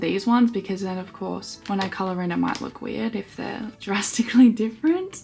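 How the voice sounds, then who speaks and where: Over noticeable background noise, a woman speaks at a very fast pace with a medium pitch. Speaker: hobby vlogger. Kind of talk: casual chat while colouring. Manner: relaxed.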